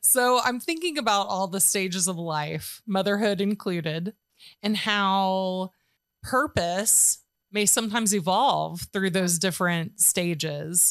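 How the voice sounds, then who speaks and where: A woman speaks in a plain, everyday voice at medium pitch and a fairly slow pace, with ordinary pitch variation and very even loudness, on a very clean recording with a silent background. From Georgia, US. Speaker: podcast host, artist and business owner. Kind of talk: casual interview chat; scripted intro.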